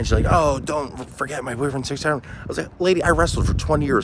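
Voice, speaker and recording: The speech moves at a very fast pace. Noticeable background noise is present. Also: man. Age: 40s. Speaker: vlogger. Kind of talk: casual monologue vlog.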